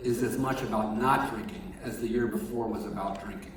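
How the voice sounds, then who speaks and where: A man speaks at medium pitch and a fairly quick pace. Noticeable background noise and audible room echo surround him. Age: 60s. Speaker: chaplain at a treatment center. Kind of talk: sermon. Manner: halting.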